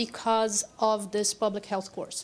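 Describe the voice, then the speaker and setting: A woman's speech moves at a moderate speed. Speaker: public health professor. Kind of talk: conference presentation. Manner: loud.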